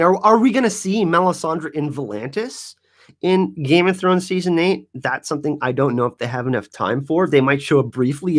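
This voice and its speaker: Lively intonation in a very clean recording with a silent background. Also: man. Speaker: YouTube show host. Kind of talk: live stream Q&A chat. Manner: fast; animated.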